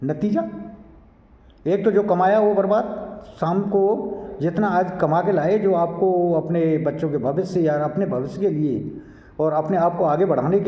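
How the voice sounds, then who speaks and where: There is audible room echo and noticeable background noise as a man speaks with a high voice. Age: 60s. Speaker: environmental activist, social commentator. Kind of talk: monologue to camera. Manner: exhortative.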